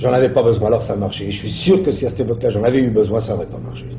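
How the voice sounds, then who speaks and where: Noticeable background noise can be heard behind a man speaking. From Italy. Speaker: actor. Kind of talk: interview answer.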